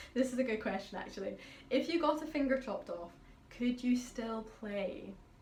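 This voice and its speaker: The speaker has a Highland Scottish accent, lively intonation and a moderate pace. The recording carries audible room echo and noticeable background noise. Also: woman. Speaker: pianist. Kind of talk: casual Q&A vlog. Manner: chatty.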